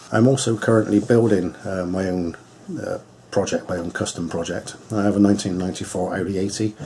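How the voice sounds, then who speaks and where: With a Bristolian accent, a man talks at a fairly quick pace and a fairly low pitch over noticeable background noise. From England, Bristol. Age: 50s. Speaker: hot rod vlogger. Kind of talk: casual vlog talk to camera. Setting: home radio shack. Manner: hesitant, many fillers.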